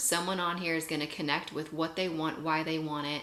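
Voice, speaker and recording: A woman's fairly low, bright, sharp voice at a moderate pace, fairly even in intonation, with audible room echo. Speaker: network marketing leader, guest speaker. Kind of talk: motivational talk on a video call.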